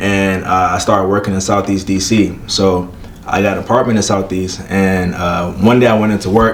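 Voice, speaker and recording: In an American accent, a man talks at a moderate pace and a fairly low pitch, his intonation monotone and flat. Audible room echo and noticeable background noise sit around his voice. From Prince George's County, Maryland (DC area). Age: 20s. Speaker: community CPR instructor. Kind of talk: casual interview. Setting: on location in Baltimore.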